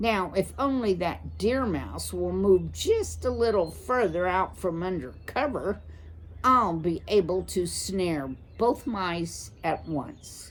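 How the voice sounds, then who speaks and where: In a put-on character voice, a woman speaks softly at a fairly slow pace over clear background noise. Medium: read story. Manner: murmuring, self-satisfied.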